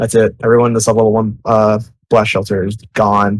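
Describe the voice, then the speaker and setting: A man at medium pitch and a fairly quick pace. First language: Spanish. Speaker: game developer. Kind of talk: live Q&A. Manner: halting.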